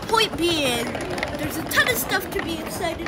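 Over background music, this woman talks at a moderate pace. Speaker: vlogger filming commute. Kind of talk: casual vlog chat. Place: station. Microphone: phone near.

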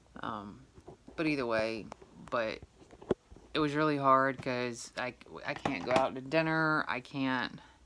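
A woman's very deep, low voice with a bright, sharp tone and ordinary pitch variation, at a fairly slow pace amid noticeable background noise. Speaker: vlogger with a medical condition. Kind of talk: personal vlog. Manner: halting. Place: home room. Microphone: phone near.

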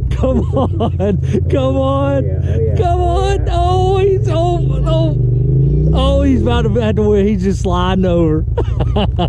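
The speaker goes at a very slow pace. The sound is dry with no echo, yet the background noise is loud. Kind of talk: excited commentary. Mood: amused, teasing. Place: forest. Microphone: camera far.

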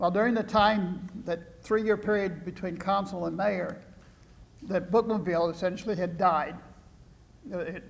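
With a Midwestern US accent, a man speaks at a high pitch and a fairly slow pace with fairly even intonation. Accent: US Midwest. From Iowa, small town. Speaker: retired professor and former mayor; retired professor, former mayor. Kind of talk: lecture. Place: hall. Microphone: podium.

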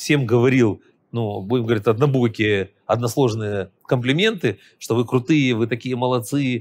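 A man's voice with fairly even intonation. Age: 50s. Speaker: professional trader and trading educator; trading educator. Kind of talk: interview. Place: studio. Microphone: lapel.

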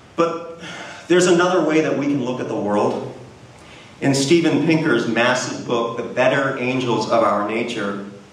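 A man at a medium pitch and moderate pace, ordinary pitch variation, audible room echo. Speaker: Unitarian Universalist minister giving a guest sermon. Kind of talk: sermon delivered to a congregation. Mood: warm, lightly humorous. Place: stage.

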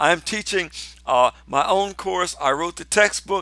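In a dry recording with no echo and a quiet background, a man speaks at a moderate pace with a bright, sharp tone. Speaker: pastor. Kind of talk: promotional address to viewers. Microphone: headset.

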